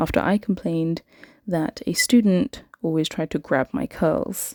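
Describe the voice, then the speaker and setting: With a British accent, a woman speaks in a dark, mellow tone and lively intonation, the sound dry and close with no echo. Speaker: English teacher. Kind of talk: podcast-style story time.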